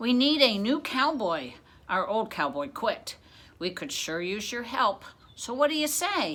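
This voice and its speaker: Putting on a loud, growling character voice, a woman talks at a moderate pace with a high pitch and very wide pitch swings. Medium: read story. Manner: growling, blunt.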